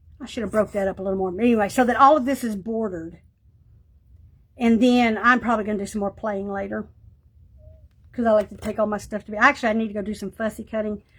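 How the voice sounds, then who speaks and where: Speaking very fast in a Texan accent, a woman uses a fairly high, somewhat breathy voice. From East Texas. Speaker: art crafts livestreamer. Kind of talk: casual livestream chat while crafting.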